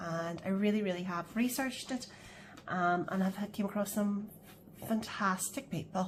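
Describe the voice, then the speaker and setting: A woman with a Northern Irish accent, medium pitch, moderate pace and fairly even intonation. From Northern Ireland. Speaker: budgeting vlogger. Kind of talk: casual chat. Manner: hesitant, many fillers.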